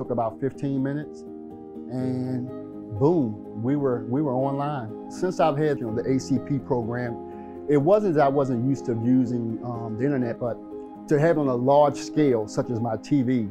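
Over music in the background, a man of medium pitch talks at a moderate pace with lively intonation and an American accent. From Baltimore, Maryland. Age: 60s. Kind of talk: testimonial interview answer.

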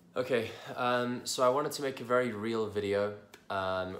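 A man talks with ordinary pitch variation. The recording carries audible room echo and light background noise. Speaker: IBD coach. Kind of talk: casual talk to camera. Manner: slow. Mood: candid, reflective. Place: home room. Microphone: phone near.

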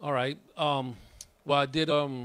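This is a man speaking. The sound is dry, with no echo. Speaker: guest. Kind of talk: interview answer. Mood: warm, reflective. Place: home room. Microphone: handheld.

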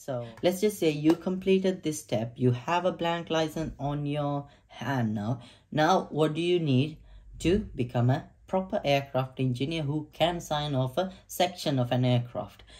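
Over a quiet background, a man speaks at a fairly slow pace. His voice is somewhat breathy, with ordinary pitch variation. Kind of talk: tutorial. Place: home room.

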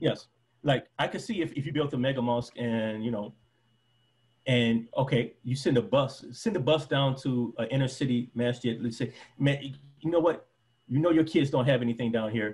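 Somewhat breathy, a man with an American accent talks at a moderate pace with ordinary pitch variation. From Detroit, US. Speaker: former preacher and convert interviewee. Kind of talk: casual interview. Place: home room. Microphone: video call.

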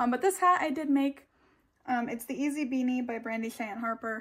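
A woman with a high voice talks in quiet surroundings. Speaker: knitting podcaster. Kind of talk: casual vlog chat. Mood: relaxed, friendly. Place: home room. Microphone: phone near.

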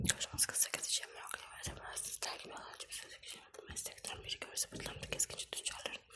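Over noticeable background noise, a woman whispers at a very fast pace. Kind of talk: ASMR book reading. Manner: whispered, fast, partly unintelligible.

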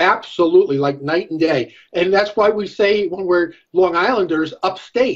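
Against a quiet background, a man with an American accent speaks at a moderate pace with lively intonation. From New York. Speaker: political strategist and professor; professor. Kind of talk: political panel discussion. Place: home room. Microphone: video call.

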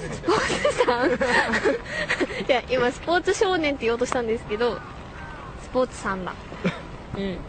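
Over noticeable background noise, a woman's high voice moves through very wide pitch swings. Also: moderate pace. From Tokyo. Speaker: voice actor. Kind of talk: radio show listener mail reading. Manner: giggly, loose.

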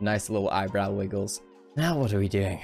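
With ordinary pitch variation, a man talks over music in the background. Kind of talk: comedic makeup tutorial voiceover. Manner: joking, casual.

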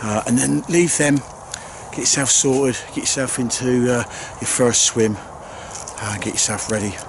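Over noticeable background noise, a man talks at a moderate pace and medium pitch with ordinary pitch variation and long, frequent pauses, the sound dry with no echo. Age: 50s. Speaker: angling video maker. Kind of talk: casual vlog narration. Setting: outdoors. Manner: hesitant, filler-heavy. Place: open country. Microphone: phone near.

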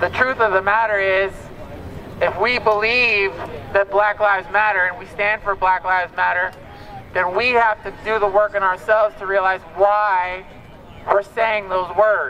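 Over light background noise, a man with an American accent projects a raised, high-pitched voice in an animated tone at a moderate pace. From US. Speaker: rally speaker. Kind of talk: rally speech. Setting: outdoors protest. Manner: animated, emphatic, urgent; repetitive, rhetorical questions to crowd. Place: street.

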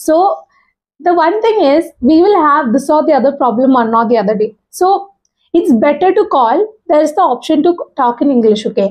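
A woman with a high pitch talks at a moderate pace over a quiet background. Her pitch swings very widely while her loudness stays very even. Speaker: YouTuber giving English speaking tips. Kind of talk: monologue tutorial. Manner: informal, hesitant, self-deprecating. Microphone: lapel.

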